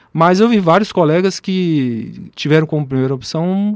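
Speaking at a fairly slow pace, a man with a fairly high pitch uses lively intonation. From Brasília, Brazil. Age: 40s. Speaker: physician and professor. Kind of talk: radio interview. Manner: hesitant, many fillers.

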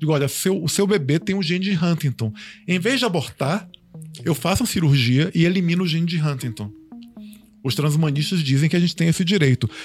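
With a normal speaking voice, a man talks at a fairly quick pace and fairly high pitch, his intonation lively and his loudness very even. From Bahia, Brazil. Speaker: transhumanism commentator. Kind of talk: casual panel discussion.

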